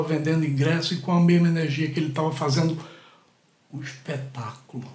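Audible room echo surrounds a man as he speaks. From Brazil, Pernambuco (Catende). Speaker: podcast host, storyteller. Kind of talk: personal storytelling monologue.

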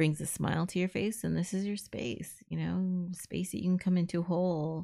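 Her voice is fairly low-pitched with a dark, mellow tone and an American accent. The woman speaks at a moderate pace on a very clean recording with a silent background. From Southern California (Los Angeles area) and El Paso, Texas. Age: 40s. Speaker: podcast host, homeschooling parent. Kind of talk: casual personal monologue. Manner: blunt, outspoken.

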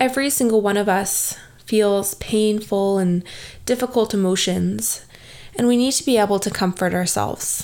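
A woman's medium-pitched voice, an ordinary speaking voice, with ordinary pitch variation. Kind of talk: guided meditation. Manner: slow, calm, soothing, with long pauses; soft-spoken, gentle, instructive.

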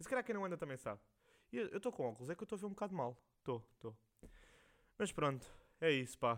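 A man's fairly high voice with a European Portuguese accent, very fast pace, very wide pitch swings and long, frequent pauses. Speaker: podcast host. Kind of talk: casual monologue. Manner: rambling, slangy.

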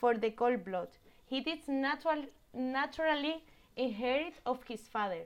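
A woman with an Andalusian accent speaks at a high pitch and a fairly slow pace, with lively intonation. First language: Spanish. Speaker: guest sharing her hometown. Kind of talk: casual interview chat. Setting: remote call across countries. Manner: halting, searches for English words.

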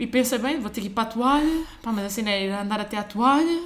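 With noticeable background noise behind her, a woman talks at a fairly quick pace with very wide pitch swings. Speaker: software engineer. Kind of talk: casual chat.

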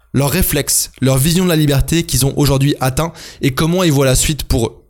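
A man with a plain, everyday voice speaks at a fairly quick pace with fairly even intonation. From France. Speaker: podcast host, freelance entrepreneur. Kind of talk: scripted solo podcast narration.

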